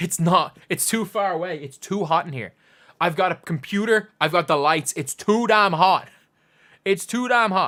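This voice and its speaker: Lively intonation marks this man's high-pitched voice at a moderate pace. The recording is very clean, with a silent background. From Ireland, Dublin. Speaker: basketball YouTuber. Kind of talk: live watch-along stream commentary. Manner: energetic; repetitive.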